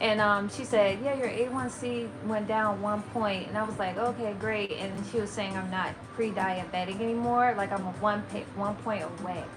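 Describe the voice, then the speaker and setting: A woman with a Maryland accent talks at a moderate pace in a medium pitch with fairly even intonation. Room echo is audible, and music plays in the background. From Maryland, near DC. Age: 30s. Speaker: lifestyle and plant-based content creator. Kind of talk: livestream chat with viewers. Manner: halting, many fillers.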